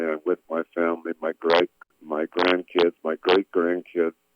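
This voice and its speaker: The man's voice sits very deep and low. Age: 70s. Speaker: pastor. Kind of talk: interview. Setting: radio show. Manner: halting.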